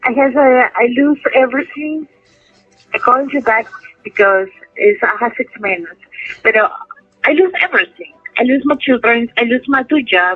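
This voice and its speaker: A woman with a high pitch and very wide pitch swings speaks at a moderate pace with long, frequent pauses while music plays in the background. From Peru, Lima. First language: Spanish. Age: 30s. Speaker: prison inmate. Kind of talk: interview. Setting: phone call. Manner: halting.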